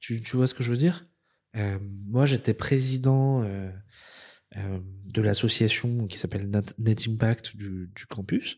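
In a very clean recording with a silent background, a man speaks very slowly at a medium pitch with ordinary pitch variation. His loudness swings widely, and he pauses long and often. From Madagascar. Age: 30s. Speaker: business strategy consultant. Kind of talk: interview conversation. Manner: halting, many repetitions and fillers.

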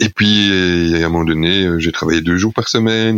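With fairly even intonation and a very deep, low pitch, a man speaks at a moderate pace. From Belgium, Charleroi area (Wallonia). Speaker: miller, philosophy graduate and former teacher. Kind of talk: podcast interview. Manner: hesitant, many fillers.

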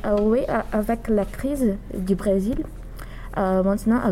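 A woman speaks with a Portuguese accent. Her voice sits at medium pitch. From Brazil. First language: Portuguese (speaking French). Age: 20s. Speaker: psychology student. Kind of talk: interview. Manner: halting.

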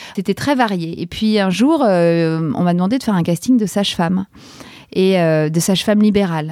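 Pitch variation is ordinary. Delivery comes at a moderate pace. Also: woman. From Paris, France. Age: 40s. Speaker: podcaster. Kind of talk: interview. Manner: hesitant, many fillers.

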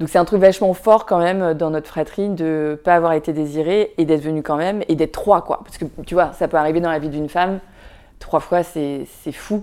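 A woman with a fairly low pitch speaks at a fairly quick pace in a dark, mellow tone, her intonation fairly even but her loudness swinging widely. The recording is very clean with a silent background. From France, Vietnamese immigrant family. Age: 40s. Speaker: documentary filmmaker and blogger. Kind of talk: casual interview.

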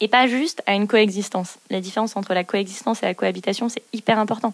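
Speaking at a moderate pace, a woman with a fairly high pitch is heard in a dry, close recording with no echo. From northern France, near Dunkirk. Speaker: former corporate strategy director. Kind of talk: interview. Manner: halting, many repetitions and fillers.

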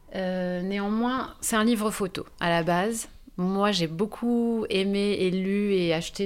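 Ordinary pitch variation in a woman's voice at a medium pitch. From France, Bordeaux. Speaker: photo book author. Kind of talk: podcast interview. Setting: recorded on location. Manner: hesitant.

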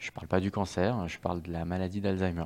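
The recording is very clean, with a silent background. A man speaks in a very deep, low voice with monotone, flat intonation. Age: 30s. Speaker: tech executive and charity fund president. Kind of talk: testimony.

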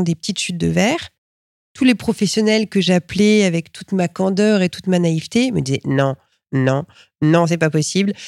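A woman speaks with a lively, bouncing intonation. The recording is very clean, with a completely silent background. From France, Reims area. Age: 40s. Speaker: glass artist and artistic director. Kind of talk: interview. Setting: glass workshop library. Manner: hesitant with repetitions.

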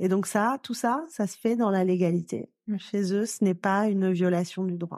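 Against a quiet background, a woman speaks at a medium pitch with a dark, mellow tone. Her intonation stays fairly even. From southern France. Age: 40s. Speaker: lawyer and activist. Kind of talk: testimony.

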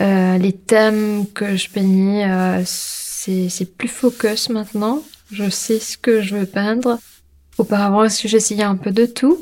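The voice is soft-spoken and moves at a very slow pace. Its intonation stays fairly even. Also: woman, medium pitch for a woman. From Mauritius. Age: 30s. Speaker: street artist. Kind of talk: interview. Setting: hotel room. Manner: halting with fillers.

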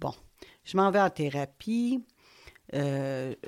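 A woman talks at a very slow pace in a Quebec accent. The recording is very clean, with a silent background. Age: 50s. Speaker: podcaster. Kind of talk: personal monologue. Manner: conversational, hesitant.

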